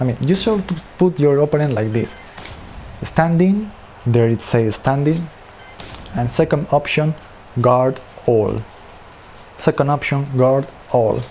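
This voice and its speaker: Noticeable background noise sits under a man speaking at a fairly slow pace in a fairly high voice, with long, frequent pauses. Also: ordinary pitch variation. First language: not English. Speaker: gaming tutorial creator. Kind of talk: tutorial. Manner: casual, conversational.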